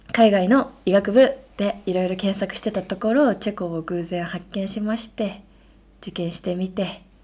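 A woman's dark, mellow tone at a medium pitch. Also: ordinary pitch variation, moderate pace. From Shizuoka, Japan. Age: 20s. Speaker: medical student, podcast co-host. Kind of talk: casual chat.

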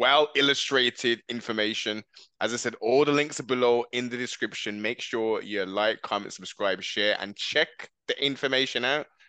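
A man with a British accent speaks at medium pitch and a moderate pace with fairly even intonation. His tone is bright and sharp, and the sound is dry and close with no echo. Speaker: podcast host. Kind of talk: casual chat. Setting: video call. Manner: halting.

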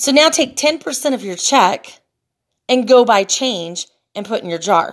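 Her loudness swinging widely, a woman speaks at a high pitch on a very clean recording with a silent background. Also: fairly slow pace. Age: 40s. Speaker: podcaster. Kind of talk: casual monologue. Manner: halting, frequent fillers and repeats.

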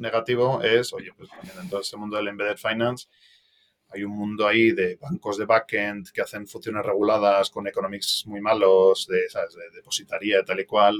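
Here a man speaks in an ordinary speaking voice at a medium pitch. His pace is fairly quick. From Madrid, Spain, raised partly in Belgium. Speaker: venture capital investor. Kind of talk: casual interview.

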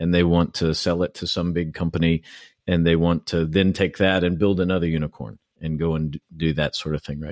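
A man speaks fairly quickly with a very deep, low voice and flat, monotone intonation. The sound is dry and close with no echo, over a quiet background. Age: 40s. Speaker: podcast host, Marine veteran. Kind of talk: interview conversation. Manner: hesitant, many fillers.

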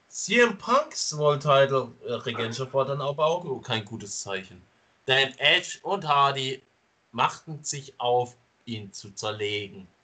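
A man talks at a very slow pace. His tone is bright and sharp, and his pitch sits in the medium range. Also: ordinary pitch variation. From Stuttgart, Germany. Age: 20s. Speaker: wrestling podcast host. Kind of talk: casual chat. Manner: loud at times.

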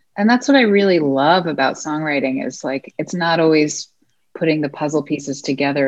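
Pitch varies in an ordinary way. This voice belongs to a woman. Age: 30s. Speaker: singer-songwriter. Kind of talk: interview. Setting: video call.

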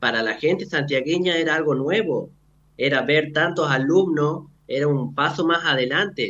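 A man's fairly high-pitched voice, an unremarkable speaking voice, with ordinary pitch variation. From Argentina, Santiago del Estero (Frías). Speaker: medical student. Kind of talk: radio interview. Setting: remote link into radio studio.

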